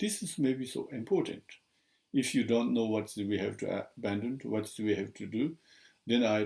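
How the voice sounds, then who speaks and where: A dark, mellow tone with a strong non-native accent and lively intonation, on a very clean recording with a silent background. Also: man. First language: Tibetan. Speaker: Buddhist teacher. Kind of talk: dharma teaching. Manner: halting.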